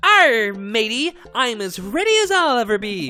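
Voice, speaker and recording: Over faint music in the background, a female-sounding put-on character voice, raised and projected at a fairly high pitch, moves at a moderate pace. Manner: playful.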